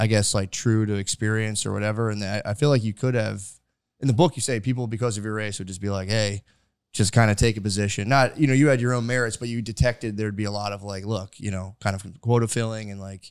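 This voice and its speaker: In a very clean recording with a silent background, a man with an American accent speaks very fast at a fairly low pitch, his loudness swinging widely. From US suburbs. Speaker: comedy podcast host. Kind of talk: casual interview conversation. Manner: rambling with many fillers.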